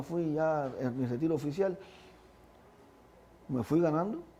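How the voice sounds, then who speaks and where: A man with a dark, mellow tone speaks fairly slowly at a fairly high pitch, with audible room echo. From Cuba, Havana (Lawton). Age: 60s. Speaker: retired Paralympic athlete. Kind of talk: interview. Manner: halting, many repetitions.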